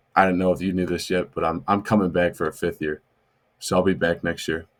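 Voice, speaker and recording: Fairly quick, monotone, flat speech with a Midwestern American accent on a very clean recording with a silent background. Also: man. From Illinois near St. Louis. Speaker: college football player. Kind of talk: podcast interview.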